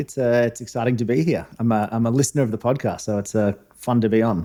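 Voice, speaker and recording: With a dark, mellow tone, a man talks very fast at a medium pitch and with ordinary pitch variation. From Australia. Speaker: former diplomat, newsletter founder. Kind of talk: interview podcast.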